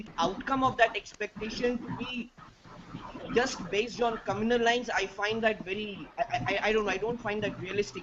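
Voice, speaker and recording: A man speaks at a fairly quick pace in a high voice. Noticeable background noise runs underneath. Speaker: discussion participant. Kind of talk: online panel discussion. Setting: video call. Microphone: quiet audio.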